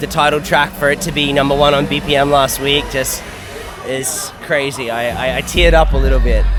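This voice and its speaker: Over music in the background and audible room echo, a man with an Australian accent and a fairly high pitch talks at a fairly quick pace in a monotone, flat way. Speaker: DJ and music producer. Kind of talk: interview. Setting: backstage at a music lounge, outdoors.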